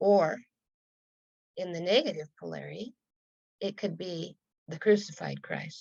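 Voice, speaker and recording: There is vocal fry in this woman's voice as she talks at a moderate pace. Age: 70s. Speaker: spiritual teacher. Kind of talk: teaching conversation. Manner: measured, explanatory.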